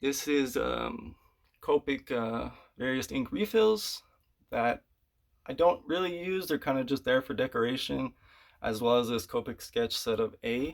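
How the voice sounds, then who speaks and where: On a very clean recording with a silent background, a man's shaky voice moves at a fairly slow pace. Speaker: artist showing his art room. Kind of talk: room tour video. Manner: halting, many filler words.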